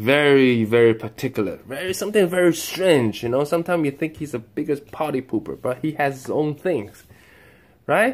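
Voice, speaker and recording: Pitched fairly high, a man with a normal speaking voice talks at a fairly quick pace with lively intonation. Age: 30s. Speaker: father with Tourette syndrome. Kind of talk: casual talk to camera.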